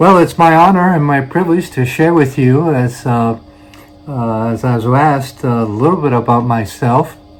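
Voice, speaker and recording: A man with a Brooklyn accent, medium in pitch, with ordinary pitch variation, at a moderate pace, with audible room echo. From New York City, Brooklyn. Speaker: missionary preacher. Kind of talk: testimony. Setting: church. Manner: hesitant, many fillers.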